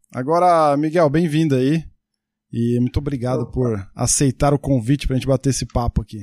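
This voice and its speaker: In an ordinary speaking voice, a man of medium pitch talks at a fairly quick pace with ordinary pitch variation, the sound dry and close with no echo. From Brazil, Santo André (ABC Paulista). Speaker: podcast host. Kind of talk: interview. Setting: video call.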